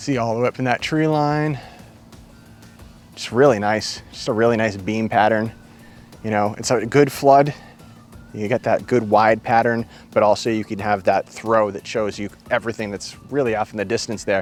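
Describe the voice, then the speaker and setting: With music in the background, a speaker with a New England accent talks at a moderate pace in an enthusiastic tone, leaving long, frequent pauses. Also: man, medium pitch for a man. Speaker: gear reviewer. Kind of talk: product review. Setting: outdoors at night. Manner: casual, enthusiastic.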